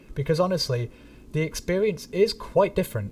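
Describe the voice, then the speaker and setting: Dark, mellow tone from a man, somewhat breathy, at a moderate pace. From northern England, Manchester area. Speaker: gaming streamer. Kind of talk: live stream chat. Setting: live stream. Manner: casual, halting with fillers.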